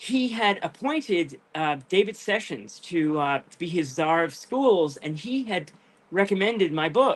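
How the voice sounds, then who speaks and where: With an American accent, a man speaks fairly slowly in a high voice that swings very widely in pitch. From Rhode Island, US. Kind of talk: interview on live video show.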